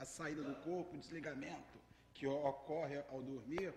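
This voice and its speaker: A man talks in a space with audible room echo. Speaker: spiritist lecturer. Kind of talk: religious lecture. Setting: spiritist center hall with audience. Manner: halting.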